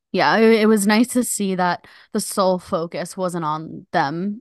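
A woman with an ordinary speaking voice talks at medium pitch and a fairly slow pace, with ordinary pitch variation. The sound is dry and close with no echo, and the background is quiet. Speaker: podcast host. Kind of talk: casual comedic chat.

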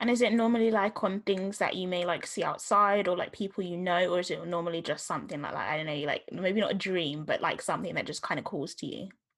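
A woman's very fast speech in a Southeast London accent, with ordinary pitch variation. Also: medium pitch for a woman, hardly any pauses. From Southeast London, England. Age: young. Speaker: podcast host. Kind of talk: casual chat. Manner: youthful, filler-heavy speech.

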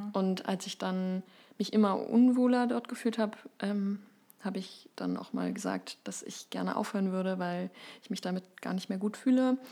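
At a medium pitch and moderate pace, a woman speaks in a dark, mellow tone with ordinary pitch variation. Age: 20s. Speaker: writer and editor with anxiety disorder. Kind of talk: interview, personal testimony.

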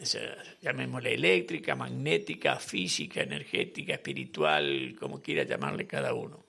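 Noticeable background noise sits behind a man. He talks at a moderate pace with hardly any pauses. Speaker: radio host. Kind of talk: casual chat.

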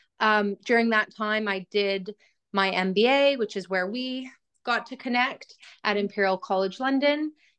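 A woman with a normal speaking voice and a Canadian accent, a fairly high pitch, ordinary pitch variation and a fairly slow pace, in a dry, close sound with no echo. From Canada (Edmonton, Alberta). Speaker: healthcare tech business professional. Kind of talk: casual interview.

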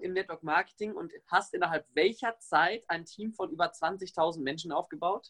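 The delivery is enthusiastic and animated in tone yet fairly slow in pace. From Germany, Warendorf (North Rhine-Westphalia). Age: 20s. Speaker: podcast host, network marketer. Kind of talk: podcast interview. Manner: enthusiastic, animated.

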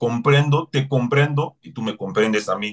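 A man speaks at a fairly slow pace with medium pitch and ordinary pitch variation, the sound dry and close with no echo. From Cameroon. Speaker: human rights advocate. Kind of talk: interview.

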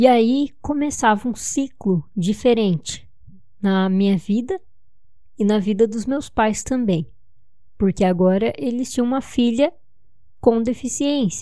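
A fairly high-pitched woman with a dark, mellow tone and lively intonation, at a fairly slow pace with long, frequent pauses. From São Paulo, Brazil. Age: 20s. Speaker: podcaster. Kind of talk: personal storytelling monologue.

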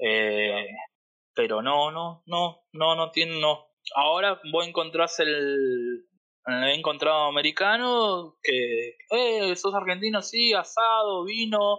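A man's high voice at a very slow pace, with very wide pitch swings. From Argentina. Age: 30s. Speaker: interviewee, Argentine emigrant living in the US. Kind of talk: casual interview, personal testimony. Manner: conversational, halting with repetitions.

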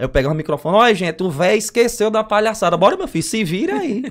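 Against a silent background in a very clean recording, a man talks at a very fast pace with lively intonation. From Brazil, Northeast. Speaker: circus clown and comedian. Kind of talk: casual chat. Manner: animated.

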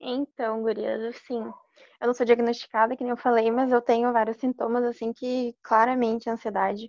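A woman speaks in a flat monotone with hardly any pauses. The sound is dry and close, with no echo. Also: fairly high pitch for a woman, moderate pace. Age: 20s. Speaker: university student. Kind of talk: casual chat.

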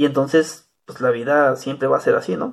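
With vocal fry, a man talks at a fairly high pitch with ordinary pitch variation. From Mexico, small rural town. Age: 30s. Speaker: podcaster. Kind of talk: casual monologue.

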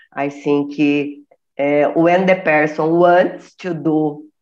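At a very slow pace, the speaker uses fairly even intonation in a Portuguese accent. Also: woman. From Brazil. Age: 50s. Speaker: retired chemistry teacher. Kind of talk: casual chat. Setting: video call. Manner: halting.

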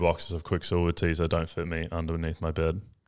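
A man with a New Zealand accent speaks at a fairly quick pace in a very deep, low pitch. The recording is very clean, with a silent background. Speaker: podcast host, vintage clothing store owner. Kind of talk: casual chat.

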